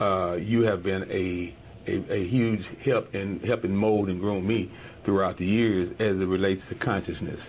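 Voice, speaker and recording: A man with an American accent, fairly low pitch and fairly even intonation, at a moderate pace over noticeable background noise. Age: 60s. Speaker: business owner. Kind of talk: interview. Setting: studio. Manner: halting.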